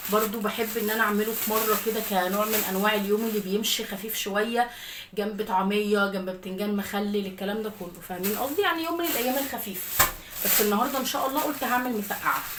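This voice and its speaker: Amid audible room echo and noticeable background noise, a woman with an Egyptian accent talks at a fairly quick pace and fairly high pitch, with ordinary pitch variation. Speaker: lifestyle vlogger and mother. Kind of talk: casual daily-routine vlog.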